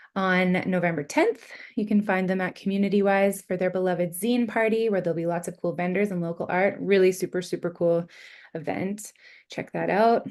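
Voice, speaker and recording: The background is quiet as a woman talks at a fairly quick pace. Her pitch is medium and her intonation fairly even. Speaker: literary event host. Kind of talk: online event announcements. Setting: online livestream. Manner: fast.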